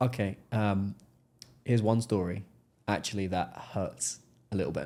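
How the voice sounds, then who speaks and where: A soft-spoken man at a fairly low pitch, moderate pace and ordinary pitch variation, on a very clean recording with a silent background. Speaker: software sales entrepreneur. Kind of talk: podcast interview. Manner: polished, clear articulation.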